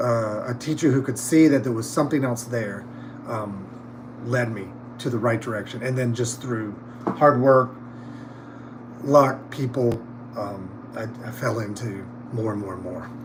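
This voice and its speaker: A man with a Southern US accent, fairly even intonation, big swings in loudness and long, frequent pauses, amid noticeable background noise and audible room echo. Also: medium pitch for a man, moderate pace. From North Carolina, US South. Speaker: theatre props department head. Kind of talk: casual interview chat. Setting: livestream backstage. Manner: halting, many fillers.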